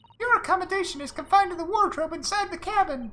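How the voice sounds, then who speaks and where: A man does a squeaky put-on character voice at an extremely high pitch, talking at a very fast pace. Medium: game stream. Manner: polite, formal, gently teasing.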